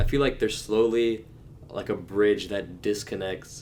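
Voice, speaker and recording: A man with fairly even intonation. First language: Telugu. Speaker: podcast co-host. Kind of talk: casual chat. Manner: halting, many restarts.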